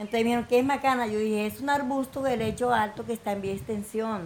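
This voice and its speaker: A woman with a fairly high pitch and fairly even intonation at a fairly quick pace, amid noticeable background noise. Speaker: coffee farmer and entrepreneur. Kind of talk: personal testimony.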